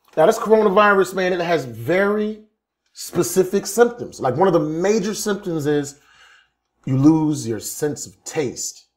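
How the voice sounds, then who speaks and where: A man speaks in a high pitch with lively intonation at a fairly slow pace. His loudness swings widely. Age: 40s. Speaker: stand-up comedian. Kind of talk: stand-up.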